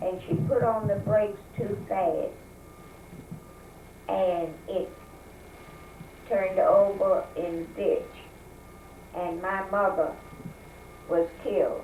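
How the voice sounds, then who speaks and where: Over noticeable background noise, a woman with a Southern US accent speaks at a very slow pace with long, frequent pauses. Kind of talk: interview answer.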